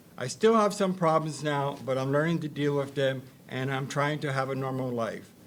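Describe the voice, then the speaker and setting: With audible room echo around him, a man speaks at a fairly high pitch, a moderate pace and ordinary pitch variation. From Ontario, Canada. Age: 60s. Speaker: institution survivor and artist. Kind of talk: reading aloud a personal testimony. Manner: halting, repeating words.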